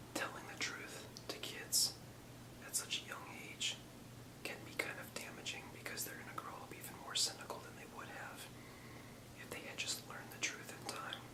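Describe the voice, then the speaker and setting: Whispering at a moderate pace, a man leaves long, frequent pauses, his loudness swinging widely, with noticeable background noise. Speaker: ASMR whisperer. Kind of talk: ASMR whisper history lesson. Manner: whispered, soft-spoken.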